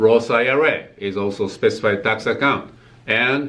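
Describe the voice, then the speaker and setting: A man with a Japanese accent speaks at a medium pitch and a fairly slow pace. His tone is bright and sharp, and there is audible room echo. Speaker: tax accountant. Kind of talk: tutorial. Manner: halting, many fillers.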